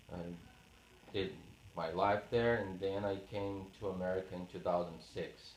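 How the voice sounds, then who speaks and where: The speech moves at a moderate pace with fairly even intonation and long, frequent pauses, in audible room echo. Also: man. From Brazil, Paraná. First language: Portuguese. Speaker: oral history interviewee. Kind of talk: interview. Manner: halting, many fillers.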